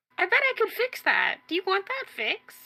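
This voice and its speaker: Using a put-on character voice, a woman sounds squeaky at an extremely high pitch. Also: moderate pace. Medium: actual play.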